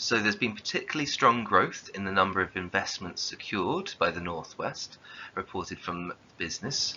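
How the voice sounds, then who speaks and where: With a southern English accent, a man speaks at a fairly low pitch and a moderate pace. His pitch varies in an ordinary way. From southern England. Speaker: geography teacher. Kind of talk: lecture.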